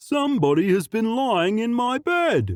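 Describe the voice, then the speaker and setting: A man puts on a character voice. It is high in pitch. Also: moderate pace. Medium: read story.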